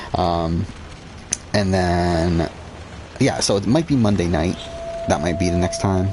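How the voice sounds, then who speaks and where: Delivered at a fairly slow pace with long, frequent pauses, the speech holds a very even loudness. Noticeable background noise runs underneath. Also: man, very deep, low pitch for a man. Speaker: gaming streamer. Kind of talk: casual livestream commentary. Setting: live stream.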